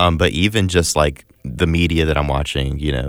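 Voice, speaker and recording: A man's very deep, low voice with vocal fry and ordinary pitch variation. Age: 20s. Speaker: faith radio host. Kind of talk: casual chat.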